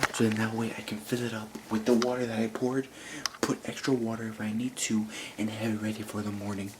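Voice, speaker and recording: A man speaks in a flat monotone at a medium pitch. Noticeable noise sits in the background. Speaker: vlogger. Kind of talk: casual vlog narration. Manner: hushed, trying to be quiet.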